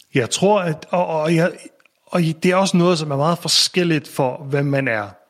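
The speaker is a man. His intonation moves up and down to a usual degree. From Faroe Islands. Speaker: tech entrepreneur and investor. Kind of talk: interview conversation. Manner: halting, many repetitions.

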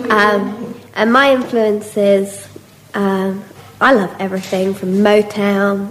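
Audible room echo and noticeable background noise fill the recording. A woman speaks at a medium pitch in a monotone, flat intonation. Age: 30s. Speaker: blues singer. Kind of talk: interview.

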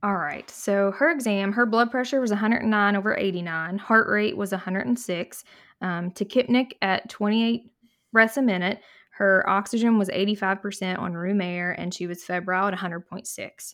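This woman has an unremarkable speaking voice at medium pitch with ordinary pitch variation. She talks fairly quickly in a very clean recording with a silent background. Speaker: pulmonary and critical care fellow. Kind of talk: casual medical podcast discussion.

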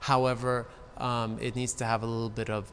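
Music plays in the background as a man with an American accent and a medium pitch speaks at a moderate pace. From Los Angeles, California. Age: 30s. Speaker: interior designer. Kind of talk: casual chat.

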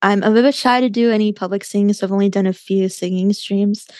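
A woman talks at a fairly quick pace in a medium pitch, with fairly even intonation. Hers is an unremarkable speaking voice, heard in a dry, close sound with no echo. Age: 20s. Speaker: chess streamer and podcaster. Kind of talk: casual interview chat.

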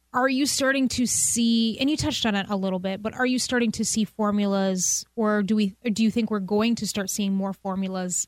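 A woman uses a normal speaking voice at a medium pitch and moderate pace, with hardly any pauses. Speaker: podcast host. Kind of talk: interview conversation, casual. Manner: warm, upbeat, laughs often.

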